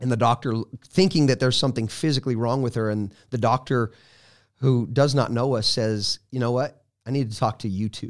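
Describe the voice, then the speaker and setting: An unremarkable speaking voice comes from a man with an American accent, medium pitch and fairly even intonation, who talks at a fairly quick pace on a very clean recording with a silent background. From Colorado. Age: 40s. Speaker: evangelist. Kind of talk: testimony.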